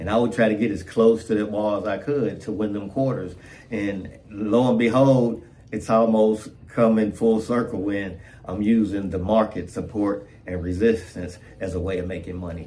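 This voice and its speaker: With audible room echo around him, a man with a fairly low voice speaks at a moderate pace in fairly even intonation. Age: 60s. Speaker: trading video creator. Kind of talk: casual vlog monologue. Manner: repetitive, stammering.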